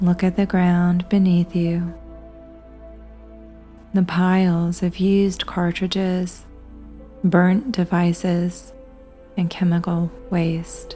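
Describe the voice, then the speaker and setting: Music plays behind a woman speaking very slowly at a fairly low pitch, with long, frequent pauses. Her intonation is monotone and flat, and her loudness stays very even. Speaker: hypnotherapist. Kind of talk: guided hypnosis. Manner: slow, soft-spoken.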